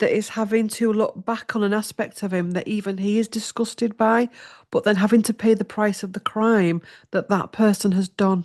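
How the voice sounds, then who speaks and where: Recorded with a dry, close sound, no echo and a quiet background, a woman with an English accent speaks at a moderate pace in a fairly high pitch with monotone, flat intonation. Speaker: tarot reader. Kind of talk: tarot reading.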